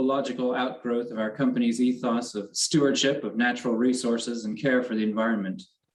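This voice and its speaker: This is an ordinary speaking voice with an American accent. The pace is fairly quick. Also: man. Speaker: company quality manager. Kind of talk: award acceptance speech.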